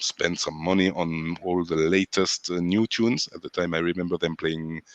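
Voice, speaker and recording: At a moderate pace, a man speaks in a very deep, low pitch with a dry, close sound and no echo. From France. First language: French. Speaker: sound system selector. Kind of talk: interview. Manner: halting.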